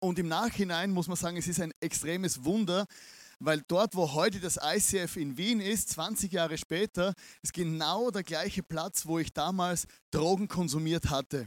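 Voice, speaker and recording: On a very clean recording with a silent background and a dry, close sound with no echo, a man speaks with a high pitch and ordinary pitch variation. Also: fairly slow pace. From Austria, Vienna. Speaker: pastor. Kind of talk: sermon. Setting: stage with audience.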